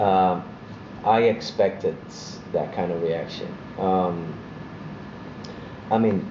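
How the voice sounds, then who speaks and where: A man with a very deep, low voice speaks very slowly, with long, frequent pauses and fairly even intonation, over noticeable background noise and audible room echo. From Italy. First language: Italian. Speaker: actor. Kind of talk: interview. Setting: fan convention.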